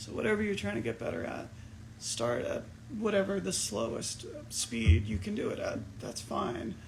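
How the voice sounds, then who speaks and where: Moderate speech in an American accent from a man, with noticeable background noise and audible room echo. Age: 30s. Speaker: musician. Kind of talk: casual livestream Q&A. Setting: Instagram livestream.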